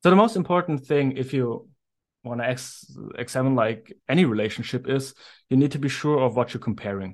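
A man with a German accent against a quiet background. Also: medium pitch for a man, ordinary pitch variation, fairly quick pace. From Germany. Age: 30s. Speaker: lawyer and researcher. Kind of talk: casual interview.

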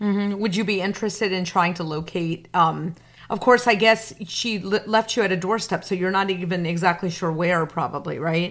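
A woman's ordinary speaking voice at medium pitch, moderate in pace with fairly even intonation, on a very clean recording with a silent background. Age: 40s. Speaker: podcast host and journalist. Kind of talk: interview.

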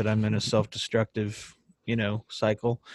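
A man talks at a moderate pace with a medium pitch. The sound is dry and close with no echo, in a very clean recording with a silent background. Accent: Texan. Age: 30s. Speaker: country singer-songwriter. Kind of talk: casual chat.

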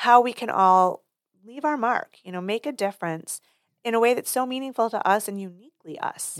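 In a very clean recording with a silent background and a dry, close sound with no echo, a woman speaks in a normal speaking voice. She keeps a moderate pace, a fairly high pitch and lively intonation. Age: 50s. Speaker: PR and marketing firm owner, writer. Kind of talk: casual interview chat.

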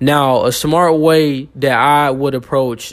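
A man with a fairly high voice speaks in a relaxed tone with monotone, flat intonation. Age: 20s. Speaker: finance podcast host. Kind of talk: educational monologue. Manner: relaxed with frequent fillers.

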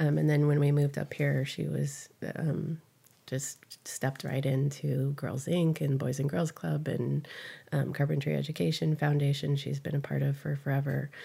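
A woman talks at a moderate pace in a Californian accent. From US West Coast, San Fernando Valley, California. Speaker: community volunteer. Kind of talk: interview. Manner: halting, many fillers.

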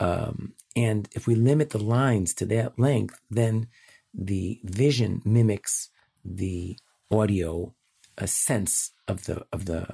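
A man speaks at a very slow pace with a Chicago accent, his fairly low voice dark, mellow and somewhat breathy. Pitch varies in an ordinary way, and the sound is dry and close with no echo. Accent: Chicago American. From US Midwest, Chicago. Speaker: educator and app founder. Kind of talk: remote interview answers.

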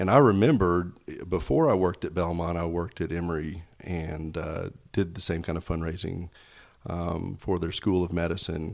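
A man with an East Tennessee accent speaks at a very deep, low pitch and a moderate pace. His intonation is fairly even, and the recording is very clean with a silent background. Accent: East Tennessee Southern US. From Knoxville, Tennessee. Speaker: hospital foundation fundraiser. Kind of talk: casual interview.

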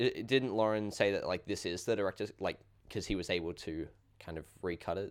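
A man's normal speaking voice at a fairly low pitch, fairly quick pace, and ordinary pitch variation. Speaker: podcast host. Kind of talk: casual chat.

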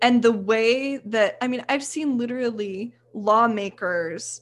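A woman with a plain, everyday voice and an American accent speaks at a fairly slow pace, her fairly high pitch held in fairly even intonation. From Texas. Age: 20s. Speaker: photographer and women's health advocate. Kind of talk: casual chat.

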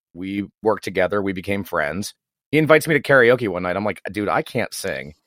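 Using a normal speaking voice, a man with a fairly low pitch talks fairly quickly with lively intonation in a dry, close sound with no echo. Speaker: podcast host. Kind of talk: casual chat.

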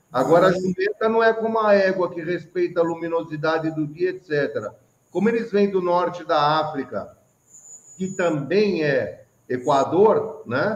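A man with a high pitch talks at a fairly slow pace, his pitch varying in an ordinary way. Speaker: online show host. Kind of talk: casual chat. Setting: video call.

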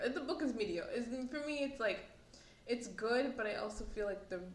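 A woman speaks at a fairly high pitch and a moderate pace, with ordinary pitch variation. Audible room echo and noticeable background noise surround her voice. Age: 20s. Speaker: podcast co-host. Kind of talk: casual chat.

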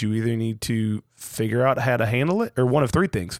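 A man speaks at a moderate pace with a normal speaking voice, medium pitch and lively intonation. The recording is very clean with a silent background and a dry, close sound with no echo. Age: 30s. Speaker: podcast host, father. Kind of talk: casual chat.

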